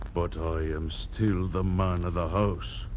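In a put-on character voice, a man speaks quietly and fairly slowly with a menacing tone and very deep, low pitch, with clear background noise. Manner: quiet, firm, menacing.

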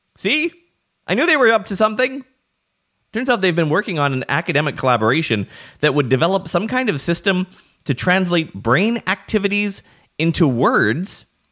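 A man with a high pitch and a bright, sharp tone swings his pitch very widely, leaving long, frequent pauses. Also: moderate pace. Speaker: podcast host. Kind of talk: news-style digital marketing briefing. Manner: brisk, informative.

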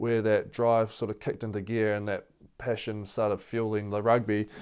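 A man talks at a moderate pace with a New Zealand accent. The recording is very clean, with a silent background. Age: 20s. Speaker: professional rugby player. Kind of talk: casual interview.

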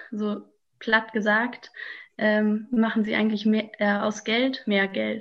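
With a fairly high pitch and a somewhat breathy sound, a woman speaks at a very slow pace in a monotone, flat intonation. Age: 20s. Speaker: climate activist. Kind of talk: interview. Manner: hesitant, many filler sounds.

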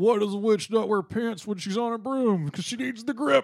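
Using a put-on character voice, a man speaks at a fairly quick pace. His pitch is high. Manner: comedic joke delivery.

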